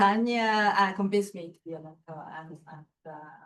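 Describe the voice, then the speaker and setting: In a Japanese accent, a woman speaks at a moderate pace. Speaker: architecture writer and mentor. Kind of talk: panel discussion. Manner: halting, many fillers.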